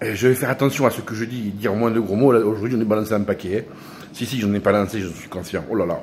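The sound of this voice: Fast and fairly low-pitched, a man speaks in a slightly mellow tone with ordinary pitch variation.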